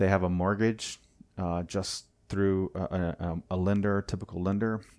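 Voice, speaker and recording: A man with an American accent speaks in a fairly low, dark, mellow voice. His intonation is monotone and flat, and the recording is very clean with a silent background. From US South, Wilmington, North Carolina. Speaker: transportation engineer and nonprofit housing leader. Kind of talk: casual interview.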